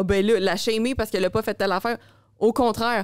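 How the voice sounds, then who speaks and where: In a Quebec accent, a woman speaks at a fairly high pitch, her sound dry and close with no echo on a very clean recording with a silent background. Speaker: podcast host, fitness coach. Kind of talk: casual chat. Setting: studio.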